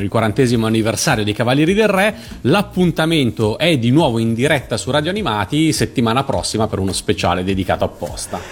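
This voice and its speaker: Pitch swings very widely as the speaker talks at a fairly quick pace. Background noise is noticeable. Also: man. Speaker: radio host. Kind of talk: live radio interview.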